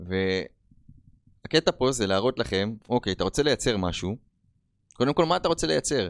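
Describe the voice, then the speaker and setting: A man talks with lively intonation. The sound is dry and close with no echo, on a very clean recording with a silent background. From Israel, Rishon LeZion. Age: 30s. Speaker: podcast host. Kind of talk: motivational monologue. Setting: on camera.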